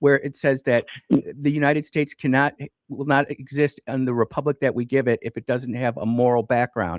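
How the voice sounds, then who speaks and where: This man has a plain, everyday voice, fairly high in pitch, with fairly even intonation and a fairly quick pace. The sound is dry and close, with no echo. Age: 50s. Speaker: radio talk show host. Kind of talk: call-in radio debate. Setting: radio studio.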